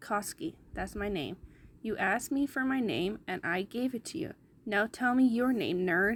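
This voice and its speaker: A woman's put-on character voice, fairly high in pitch. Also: moderate pace. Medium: read story. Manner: brash, swearing.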